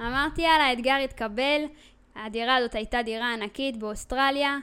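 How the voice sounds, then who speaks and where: A woman at a moderate pace, high pitch, bright, sharp tone, and ordinary pitch variation. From Israel. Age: 20s. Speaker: podcast host, entrepreneur. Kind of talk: personal storytelling monologue.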